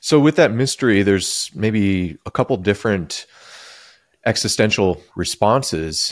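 A man with a normal speaking voice talks at a fairly slow pace and fairly low pitch with lively intonation, recorded with a dry, close sound with no echo on a very clean recording with a silent background. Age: 40s. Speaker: pastor and podcast host. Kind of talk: interview conversation; podcast intro.

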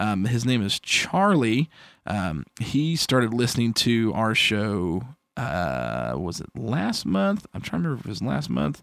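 Here a man speaks with a fairly low pitch at a fairly slow pace. His pitch swings very widely. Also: very clean recording, silent background. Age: 30s. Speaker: podcast host. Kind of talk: casual chat. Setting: home studio. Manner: loud.

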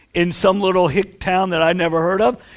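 A man speaks at a high pitch with an American accent. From northern US. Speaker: pastor. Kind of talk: church talk. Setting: church fellowship hall with microphone.

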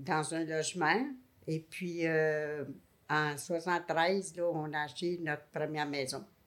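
A woman at a very slow pace, with a very deep, low pitch and fairly even intonation. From Montreal, Quebec. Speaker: married retiree sharing couple story. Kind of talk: casual interview.

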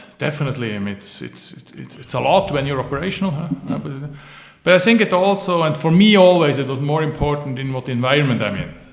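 There is noticeable background noise as a man speaks at a fairly high pitch. His pace is fairly quick and his intonation lively. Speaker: business founder and board advisor. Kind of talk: interview. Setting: office.

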